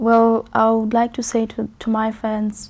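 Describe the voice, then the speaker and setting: A woman's fairly high-pitched, somewhat breathy voice. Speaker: gospel singer. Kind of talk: TV interview. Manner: hesitant, many fillers.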